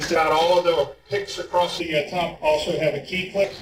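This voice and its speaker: A man's fairly quick speech comes with audible room echo and noticeable background noise. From US South, North Carolina. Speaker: engineer presenting a training. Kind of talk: lecture. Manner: fast.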